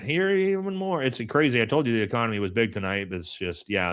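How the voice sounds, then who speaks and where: A man with an American accent at a fairly quick pace, very wide pitch swings, in a very clean recording with a silent background. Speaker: political commentator. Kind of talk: political commentary stream. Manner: sarcastic; animated.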